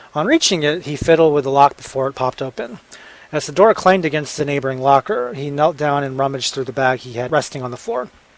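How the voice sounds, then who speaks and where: Words come at a very fast pace with ordinary pitch variation over noticeable background noise. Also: man. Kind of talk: audiobook narration.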